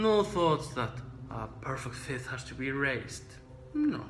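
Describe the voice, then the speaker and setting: Heard with audible room echo, a man with a non-native accent talks at a very slow pace. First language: not English. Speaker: trombone teacher. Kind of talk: tutorial.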